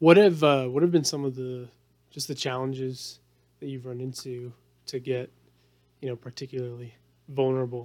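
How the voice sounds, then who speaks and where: With long, frequent pauses, a man talks at a moderate pace in a medium pitch and fairly even intonation. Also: big swings in loudness. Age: 30s. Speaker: podcast host. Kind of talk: interview.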